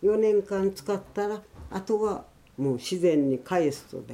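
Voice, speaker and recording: A woman speaks very slowly in a dark, mellow tone. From Miyazaki, Kyushu (rural mountain village). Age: 80s+. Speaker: traditional slash-and-burn farmer. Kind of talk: interview.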